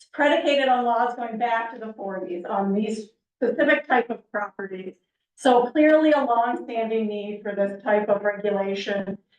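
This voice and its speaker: At a moderate pace, a woman talks in a fairly high pitch with ordinary pitch variation and big swings in loudness. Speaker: planning consultant. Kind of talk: public presentation. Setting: council meeting with audience.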